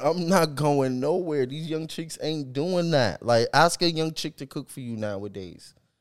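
This man has an ordinary speaking voice with an American accent and fairly high pitch. His delivery is fairly slow, with lively intonation. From Boston. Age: 30s. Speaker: podcast co-host. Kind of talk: casual chat.

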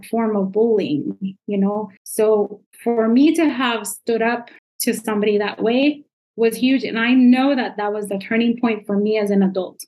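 A woman with a Spanish accent talks at a moderate pace in a fairly high voice. Her intonation stays fairly even. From Nicaragua. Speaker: parenting coach. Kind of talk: interview. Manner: uses many filler sounds.

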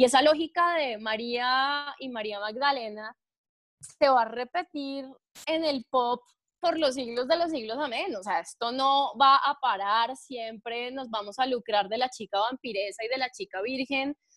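A high-pitched woman at a fairly slow pace, ordinary pitch variation, and a dry, close sound with no echo. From Colombia, Chía (Cundinamarca). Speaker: podcast co-host. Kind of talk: casual chat.

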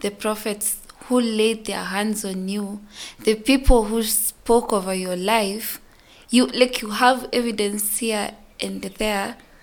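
A woman's fairly high voice with fairly even intonation, at a very slow pace amid noticeable background noise. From Kenya, Nairobi. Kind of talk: testimony.

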